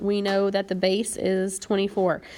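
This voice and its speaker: At a moderate pace, a woman speaks in a normal speaking voice with a medium pitch. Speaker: math teacher. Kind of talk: tutorial.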